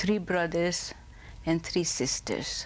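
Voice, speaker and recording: A woman speaks with a Hungarian accent. Her pitch is fairly low, and her pace is very slow. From Hungary. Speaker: Holocaust survivor. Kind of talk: oral history interview.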